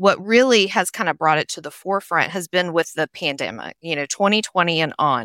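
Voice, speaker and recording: In a very clean recording with a silent background, a woman with a Tennessee accent speaks in a bright, sharp tone, the sound dry and close with no echo. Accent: Southern US, Tennessee. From Nashville, Tennessee, US South. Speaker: human resources consultant. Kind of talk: interview conversation.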